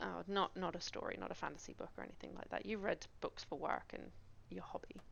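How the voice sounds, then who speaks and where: This woman speaks with a Cornish accent. Her pace is fairly quick. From Cornwall, England. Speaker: game streamer. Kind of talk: casual chat. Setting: live stream. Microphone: gaming headset, poor audio.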